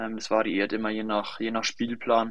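The pace here is fairly slow. It belongs to a man's voice. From Lower Franconia, Bavaria (near Schweinfurt). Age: 20s. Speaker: professional football goalkeeper. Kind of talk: interview.

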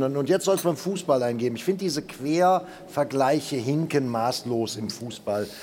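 Noticeable background noise fills the clip. A man is talking. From Germany. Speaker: football pundit. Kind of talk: panel discussion.

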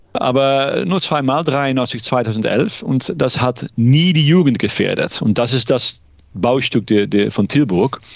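A man at medium pitch speaks very slowly with lively intonation. His loudness stays very even. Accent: Dutch. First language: Dutch (speaking German). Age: 50s. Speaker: law lecturer, ice hockey fan. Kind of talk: casual interview. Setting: remote call. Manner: hesitant, many fillers.

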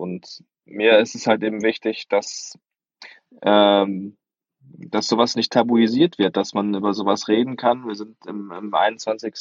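Very slowly, a man talks with fairly even intonation at a medium pitch. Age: 20s. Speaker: sports reporter and author. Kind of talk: podcast discussion. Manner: halting, many fillers.

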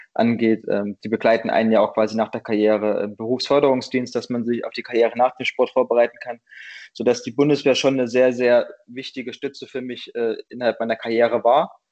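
A man speaks at a medium pitch. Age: 30s. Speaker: sprinter. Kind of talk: interview. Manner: halting, many fillers.

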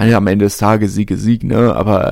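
A man's fairly low voice carries a dark, mellow tone. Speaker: rugby podcast host. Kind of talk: solo commentary podcast. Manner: hesitant with many fillers.

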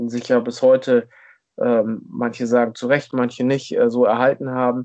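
A man speaks with monotone, flat intonation at a moderate pace. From northern Germany, rural Schleswig-Holstein near Hamburg. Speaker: football fan, podcast guest. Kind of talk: casual chat. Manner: hesitant, many fillers.

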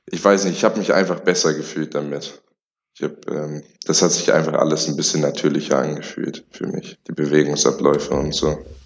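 Fairly quick and fairly even in intonation, this man's voice sits very deep and low. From Lower Saxony, Germany (Celle, near Hanover). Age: young. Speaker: college football player. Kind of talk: interview.

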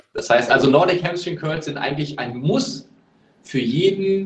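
With lively intonation and a fairly high pitch, this man talks at a very slow pace. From Germany, Lower Rhine (Neuss). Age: 30s. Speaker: American football player, wide receiver. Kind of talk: podcast interview. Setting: remote call.

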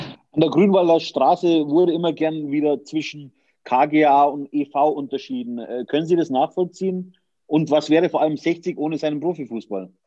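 Against a quiet background, a man speaks at a moderate pace in a dark, mellow tone. His pitch is fairly high and varies in an ordinary way. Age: 40s. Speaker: podcast host. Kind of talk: interview.

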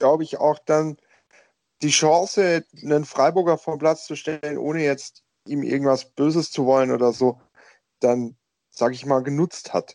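A man with a fairly high pitch talks at a moderate pace, his intonation fairly even. He leaves long, frequent pauses, and the sound is dry and close with no echo. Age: young. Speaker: football podcast panelist, referee expert. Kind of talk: casual chat.

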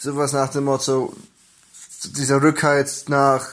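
The man speaks in a fairly high pitch. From Germany, Hildesheim (Lower Saxony). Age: 20s. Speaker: football fan. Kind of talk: personal fan story.

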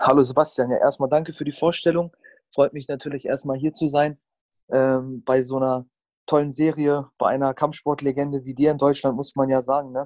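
A man's fairly high-pitched voice, monotone and flat, in a dry, close sound with no echo. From Germany, Hannover. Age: 20s. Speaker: MMA fighter. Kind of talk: interview. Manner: hesitant, many filler sounds.

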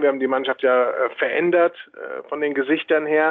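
A man's fairly high voice in a monotone, flat intonation. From Hesse, near Frankfurt am Main. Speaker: handball coach. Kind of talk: interview.

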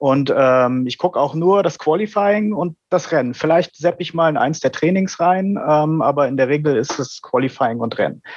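A man speaks in an ordinary speaking voice at a moderate pace. His pitch is fairly high, with ordinary variation. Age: 30s. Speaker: IT worker, listener guest. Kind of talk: casual chat.

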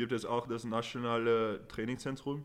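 A man's medium-pitched voice with a non-native accent. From Netherlands, partly raised in England. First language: Dutch or English (speaking German). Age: 20s. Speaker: rugby player. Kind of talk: podcast interview. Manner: halting with fillers.

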